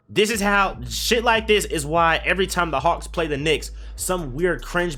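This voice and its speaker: Moderate pace over music in the background. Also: man. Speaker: gaming streamer and basketball commentator. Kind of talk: casual video commentary rant. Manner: animated, profane; slightly halting, stuttering.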